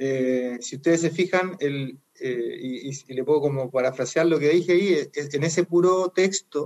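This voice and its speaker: A man with a plain, everyday voice speaks at a moderate pace, his fairly high pitch moving with ordinary variation. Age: 40s. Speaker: lay preacher. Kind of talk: casual chat.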